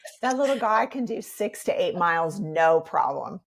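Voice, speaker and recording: A woman with an American accent has a plain, everyday voice, speaking at a moderate pace with lively intonation. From Iowa, USA. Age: 50s. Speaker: yoga instructor and life coach. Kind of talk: podcast interview answer.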